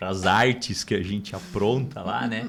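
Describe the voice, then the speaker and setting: A man with a fairly low pitch speaks with vocal fry. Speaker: podcast host. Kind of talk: podcast conversation.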